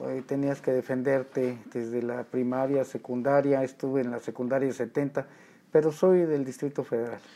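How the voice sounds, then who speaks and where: A man's medium-pitched, dark, mellow voice at a moderate pace, flat and monotone. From Mexico City, barrio La Merced. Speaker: professional wrestler. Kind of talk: casual interview.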